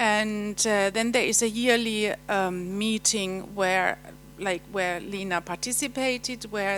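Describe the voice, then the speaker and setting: With a German accent, a woman talks at a fairly slow pace and medium pitch in fairly even intonation, music playing in the background. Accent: German accent noticeable. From Germany. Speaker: European Commission official presenting. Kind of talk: conference presentation. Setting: seminar hall with audience. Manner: halting, many fillers.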